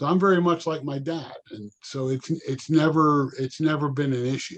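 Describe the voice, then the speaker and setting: Using an ordinary speaking voice, a man talks at a moderate pace with a fairly high pitch and fairly even intonation. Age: 60s. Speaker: retired professional. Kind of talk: casual chat.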